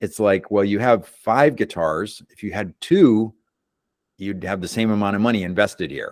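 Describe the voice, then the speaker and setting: A plain, everyday voice, a man's fairly low one moves at a moderate pace with ordinary pitch variation and big swings in loudness. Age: 60s. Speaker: guitarist and YouTuber. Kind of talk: casual chat.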